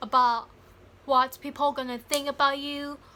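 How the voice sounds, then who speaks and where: Her raised, projected voice is high in pitch, with a bright, sharp tone and monotone, flat intonation. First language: Thai. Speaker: YouTuber, English learner. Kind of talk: motivational vlog. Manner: halting.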